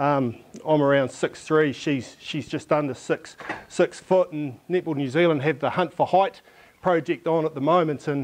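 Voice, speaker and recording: With ordinary pitch variation, a man talks at a moderate pace. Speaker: presenter, coaching lecturer. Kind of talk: conference presentation. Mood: light, humorous. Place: classroom. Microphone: lapel.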